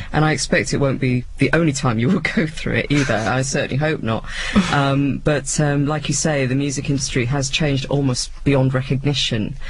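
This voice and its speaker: With an English accent, a man talks at a fairly quick pace in a fairly high pitch, his loudness very even and his intonation fairly even, over noticeable background noise and audible room echo. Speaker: radio presenter. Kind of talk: interview. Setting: radio studio.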